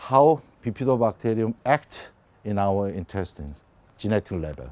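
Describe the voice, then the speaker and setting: This man has a Korean accent and a fairly low pitch that moves in very wide swings. He talks at a moderate pace, and the sound is dry and close with no echo. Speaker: biotech company CEO and scientist. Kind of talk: lecture. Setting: conference presentation. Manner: halting, many fillers.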